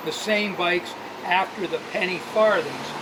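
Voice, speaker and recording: This man's voice carries audible room echo. Noticeable background noise is mixed in as well. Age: 80s+. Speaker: bike shop owner and former racing cyclist. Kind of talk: casual interview storytelling.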